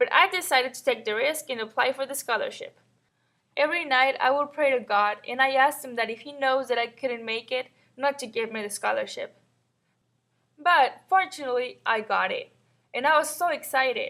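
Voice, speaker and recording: With a raised, projected voice and a bright, sharp tone, a woman speaks at a high pitch with ordinary pitch variation and big swings in loudness. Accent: Mexican. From northern Mexico (Matamoros). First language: Spanish. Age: 20s. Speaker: college student. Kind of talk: scripted personal narration.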